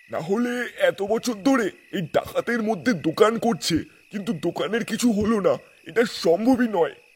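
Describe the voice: A put-on character voice from a man, pitched high and moving at a moderate pace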